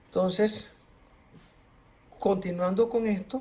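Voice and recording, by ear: Speaking slowly and high for a man, he has a slightly mellow tone and fairly even intonation, with audible room echo.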